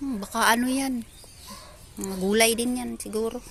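A woman speaks at a moderate pace with a fairly high pitch and a monotone, flat intonation over noticeable background noise. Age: 50s. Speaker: vlogger. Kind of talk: casual vlog narration. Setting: outdoors.

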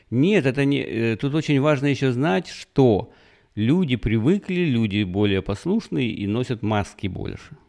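The voice has a dark, mellow tone with very wide pitch swings. It moves at a moderate pace against a quiet background. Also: man. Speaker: YouTube commentator. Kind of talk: solo news commentary monologue. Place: home room. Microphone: studio mic.

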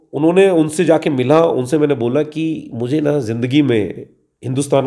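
A man speaks in a dark, mellow tone with lively intonation. The background is quiet. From western Uttar Pradesh, Dadri area village; Uttar Pradesh, India. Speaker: actor. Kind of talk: interview. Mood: relaxed, amused storytelling. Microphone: handheld.

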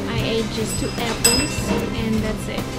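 A woman's voice over loud music in the background. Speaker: vlogger. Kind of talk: casual vlog chat. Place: cafe. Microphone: phone near.

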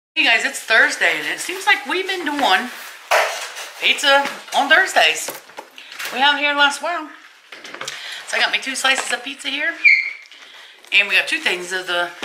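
Amid noticeable background noise, a woman speaks in a raised, projected voice at a moderate pace, with long, frequent pauses. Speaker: home vlogger. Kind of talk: casual vlog chat. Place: home room. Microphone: phone near.

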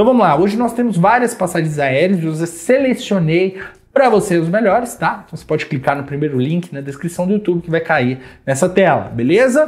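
Lively intonation and a fairly quick pace mark this speech in a Brazilian accent. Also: man, high pitch for a man, quiet background. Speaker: travel deals channel host. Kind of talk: street-seller style sales pitch, hyping deals, pushing viewers to subscribe and buy now. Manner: animated and persuasive, insistent. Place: home room.

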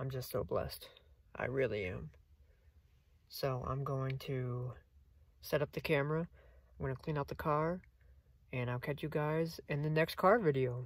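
A somewhat breathy man at a moderate pace, ordinary pitch variation, long, frequent pauses, dry sound with no echo. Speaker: vlogger. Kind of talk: casual vlog chat. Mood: grateful, excited. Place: car. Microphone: phone near.

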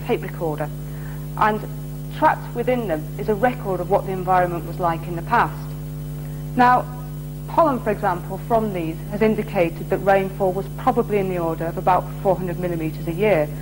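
Backed by music, a woman talks at a fairly quick pace. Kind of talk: interview answer. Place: workshop.

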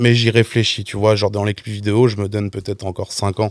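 In a dry sound with no echo and a quiet background, a man talks at a moderate pace with a fairly low pitch and monotone, flat intonation. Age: 20s. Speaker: music video director; guest. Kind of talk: casual chat. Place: studio. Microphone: studio mic.

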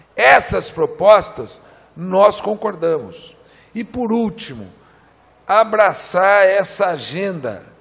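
This man speaks at a high pitch. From Brazil. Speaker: federal congressman; politician at a seminar. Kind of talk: political speech. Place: hall. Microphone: podium.

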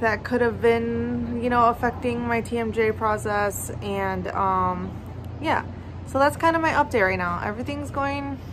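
With light noise behind her, a woman talks at a moderate pace. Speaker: vlogger. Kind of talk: casual vlog chat. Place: street. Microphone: phone near.

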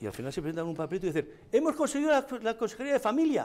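This man's speech has very wide pitch swings. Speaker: political commentator; TV political commentator. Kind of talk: heated debate. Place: studio.

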